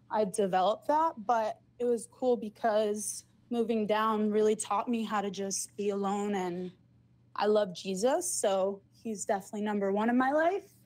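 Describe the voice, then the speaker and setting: At a moderate pace, a woman with an ordinary speaking voice talks at a fairly high pitch with ordinary pitch variation. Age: 20s. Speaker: caller. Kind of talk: casual chat.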